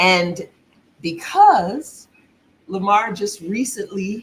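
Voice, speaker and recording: Somewhat breathy, a woman speaks at a very slow pace with lively intonation. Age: middle-aged. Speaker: expat vlogger. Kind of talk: casual livestream chat. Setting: live stream.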